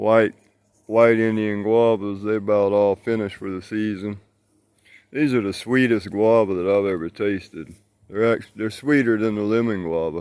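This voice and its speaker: A man's fairly low voice with a Southern US accent, fairly even intonation and a moderate pace, on a very clean recording with a silent background. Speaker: gardening vlogger, fruit grower. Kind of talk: casual garden tour vlog.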